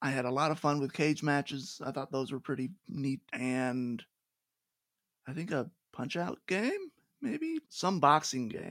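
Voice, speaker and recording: A man has a normal speaking voice, fairly high, with ordinary pitch variation. The sound is dry and close with no echo. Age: 20s. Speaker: podcast host. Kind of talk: casual chat.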